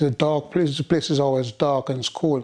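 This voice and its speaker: A man with a Jamaican accent, fairly high pitch and dark, mellow tone speaks at a fairly quick pace. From rural Jamaica. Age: 70s. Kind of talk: oral history interview answer.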